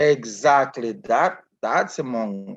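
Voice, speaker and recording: A man speaks with a non-native accent. His voice sits at a medium pitch. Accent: foreign. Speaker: physician. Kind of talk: interview.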